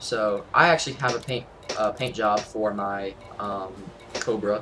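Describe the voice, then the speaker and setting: A man speaks with music playing in the background. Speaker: gaming youtuber. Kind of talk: tutorial. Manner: fast; casual, with fillers.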